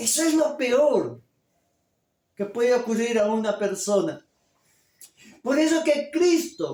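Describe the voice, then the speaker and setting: At an extremely high pitch, a man speaks very slowly with long, frequent pauses. His tone is dark and mellow. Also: lively intonation. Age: 50s. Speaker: pastor. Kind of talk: sermon.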